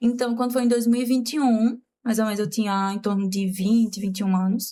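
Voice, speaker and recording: A woman with a fairly high pitch and a dark, mellow tone speaks somewhat breathily at a fairly quick pace. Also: fairly even intonation. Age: 20s. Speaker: makeup artist and teacher, patient. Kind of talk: casual interview, personal testimony.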